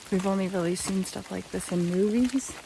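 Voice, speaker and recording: Her pitch sits at a medium level for a woman. Background noise is noticeable. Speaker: travel vlogger. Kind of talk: travel vlog narration. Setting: outdoors. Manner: animated.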